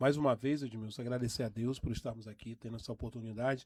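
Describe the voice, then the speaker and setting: Medium-pitched male speech with a dark, mellow tone and monotone, flat intonation. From Brazil, Porto Velho, Rondônia. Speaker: nurse and union leader. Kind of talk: radio interview. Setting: radio studio. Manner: halting.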